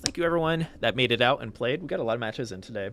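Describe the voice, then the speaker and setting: With an Ohio accent, a man speaks using very wide pitch swings. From Ohio, US. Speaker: community manager streaming a game showcase. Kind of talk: livestream commentary. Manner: casual, filler-heavy.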